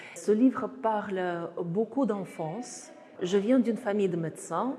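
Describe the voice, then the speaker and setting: A woman's medium-pitched voice with a Russian accent, ordinary pitch variation and a very slow pace, over noticeable background noise. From Russia, Saratov on the Volga. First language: Russian (speaking French). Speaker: author and artist. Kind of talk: book presentation talk. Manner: halting with many hesitations.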